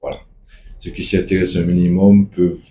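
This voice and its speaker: A man is speaking. He has a Martinican accent. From Martinique. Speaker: activist spokesperson. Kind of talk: casual video monologue.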